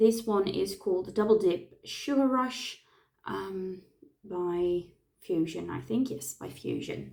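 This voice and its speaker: This woman has a dark, mellow tone and a medium pitch. She talks at a very slow pace with lively intonation. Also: big swings in loudness. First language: not English. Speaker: face painter. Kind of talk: tutorial. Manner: halting, many fillers.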